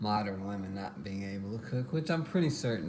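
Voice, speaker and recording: A man with an American accent talks, with audible room echo. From Texas. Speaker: home cooking vlogger. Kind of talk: casual cooking tutorial.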